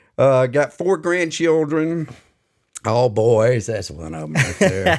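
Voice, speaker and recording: A man with an American accent speaks at a medium pitch and a very slow pace. His pitch swings very widely, and his loudness shifts a lot. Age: 70s. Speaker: podcast co-host, retired-age finance/supply chain worker. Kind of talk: casual chat. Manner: hesitant, many filler words.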